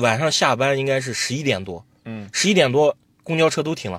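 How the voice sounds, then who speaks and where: Talking at a fairly quick pace, a man with a plain, everyday voice uses lively intonation at a medium pitch. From Xinjiang, Altay. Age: 20s. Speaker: jade trader and livestream seller. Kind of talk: interview storytelling.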